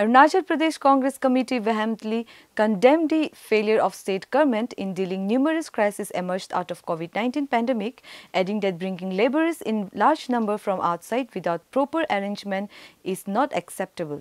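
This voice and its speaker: A woman speaks at a fairly quick pace with lively intonation, her voice dry with no echo over a quiet background. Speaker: news presenter. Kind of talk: news bulletin reading, scripted headlines. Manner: formal; brisk, even-paced, dense with facts. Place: studio. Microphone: lapel.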